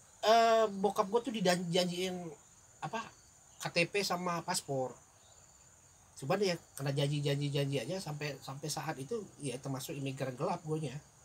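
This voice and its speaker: Against noticeable background noise, a man with a fairly high pitch and lively intonation speaks at a moderate pace with long, frequent pauses. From Palembang, Indonesia, childhood in Johor, Malaysia. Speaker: podcast guest, old college friend. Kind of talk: casual chat. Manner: halting.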